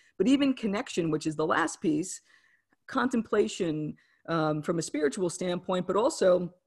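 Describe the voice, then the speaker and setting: With an American accent, a woman speaks at medium pitch and a moderate pace in an ordinary speaking voice, on a very clean recording with a silent background. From New Jersey / New York City area. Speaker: author and wellness coach. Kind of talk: interview.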